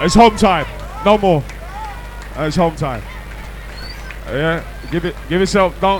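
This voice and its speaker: Music plays in the background as a man speaks in an animated, playful tone with long, frequent pauses. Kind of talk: hype MC working a live club crowd, shouting out DJs and closing the night. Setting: club or party with a live crowd. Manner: loud, fast, animated crowd-hyping banter with cheeky teasing and call-and-response; playful, jokey, laughing, with UK slang and warm sign-off shout-outs.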